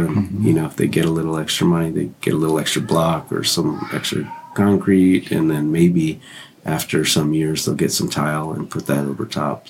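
A man with an American accent and a very deep, low pitch, fairly even intonation and a moderate pace, amid noticeable background noise. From California. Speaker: mission trip volunteer. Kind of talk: casual interview. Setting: makeshift podcast booth in a hotel.

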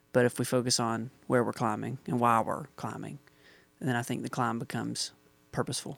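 Over a silent background in a very clean recording, a man speaks fairly quickly at a medium pitch, his intonation fairly even and his voice showing vocal fry. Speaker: worship musician and podcast host. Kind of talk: casual chat.

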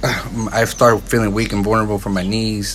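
Over noticeable background noise, a man speaks at a moderate pace in a monotone, flat intonation. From Santa Barbara, California (Mexican-American). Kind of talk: casual chat. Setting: at his home, outdoors on an overcast day.

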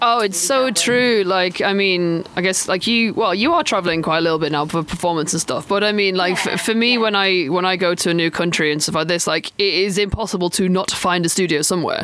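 The speech comes at a very fast pace with hardly any pauses. Noticeable background noise runs underneath. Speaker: podcast host. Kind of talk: casual interview chat.

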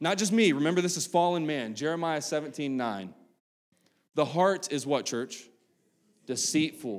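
On a very clean recording with a silent background, a man with an Appalachian accent talks at a moderate pace with lively intonation and long, frequent pauses. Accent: Appalachian American. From US, West Virginia. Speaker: pastor. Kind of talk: sermon. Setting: church service with congregation. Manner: casual, halting with fillers.

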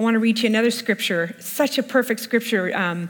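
A woman talks at a fairly high pitch and a fairly quick pace. Her pitch variation is ordinary. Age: 50s. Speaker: worship leader and speaker. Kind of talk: sermon.

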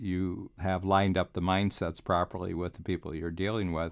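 A man with an American accent talks at a moderate pace. His pitch is very deep and low, and his intonation fairly even. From Cleveland, US. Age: 70s. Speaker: business coach and author. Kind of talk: casual interview chat. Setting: recording studio in office.

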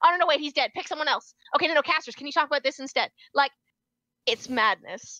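The raised, projected voice, bright and sharp in tone, moves at a very fast pace between long, frequent pauses, with ordinary pitch variation and big swings in loudness. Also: woman, high pitch for a woman. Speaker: actor and event producer. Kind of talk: casual chat, podcast interview.

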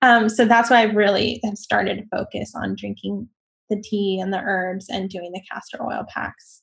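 Her somewhat breathy, medium-pitched voice moves at a moderate pace, the intonation fairly even while the loudness swings widely, and she is a woman. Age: 40s. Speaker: interview guest sharing personal story. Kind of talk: casual chat.

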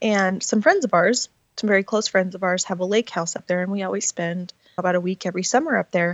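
A woman speaks with an American accent at a medium pitch. She talks at a very fast pace with ordinary pitch variation. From Montana. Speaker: author. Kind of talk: interview. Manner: casual, with fillers.

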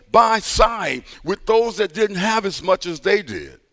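A man's high-pitched, bright, sharp voice in an American accent, at a fairly slow pace. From US Midwest, East St. Louis, Illinois. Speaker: pastor. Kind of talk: sermon.

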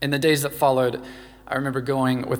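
Audible room echo surrounds a man speaking with an American accent. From US South, Louisiana. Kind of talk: sermon.

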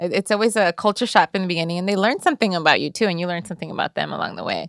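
Speaking very fast with hardly any pauses, a woman with a medium-pitched voice and vocal fry shows ordinary pitch variation and big swings in loudness, in a dry, close sound with no echo. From Los Angeles (Inglewood/Lennox), US. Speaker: financial literacy speaker and author. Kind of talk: casual interview.

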